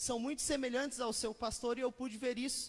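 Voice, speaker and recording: A man talks with an extremely high pitch. His intonation stays flat and monotone. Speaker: pastor. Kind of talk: sermon. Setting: church with congregation. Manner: fast.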